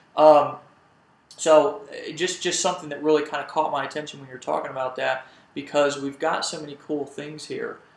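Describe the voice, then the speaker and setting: In an American accent, a man with a fairly high voice keeps his intonation fairly even amid noticeable background noise and audible room echo. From United States. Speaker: network marketing company co-founder. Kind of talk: live training webinar. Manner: hesitant with many repeated words.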